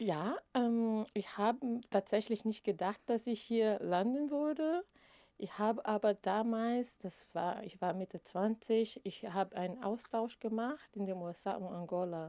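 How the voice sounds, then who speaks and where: A woman speaks with a non-native accent at a fairly high pitch, her tone dark and mellow. She goes at a fairly slow pace with ordinary pitch variation. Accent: non-native German, speaks with errors. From Brazil, Rio de Janeiro. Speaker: equal opportunities officer. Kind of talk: interview. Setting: studio.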